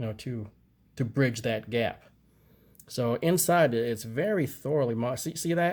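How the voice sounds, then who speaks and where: Captured in a very clean recording with a silent background, a man of medium pitch speaks with lively intonation. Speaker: gun review youtuber. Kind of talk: tutorial. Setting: indoors at home. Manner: halting, many fillers and restarts; casual.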